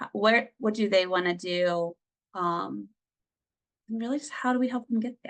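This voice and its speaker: A woman talks in a plain, everyday voice at a moderate pace with ordinary pitch variation. The sound is dry and close, without echo. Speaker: family services director presenting on microboards. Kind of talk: presentation.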